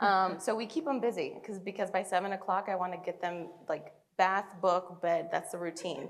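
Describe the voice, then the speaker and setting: A woman with a Spanish accent talks at a moderate pace, her medium pitch showing ordinary pitch variation. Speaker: human resources executive. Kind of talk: onstage interview.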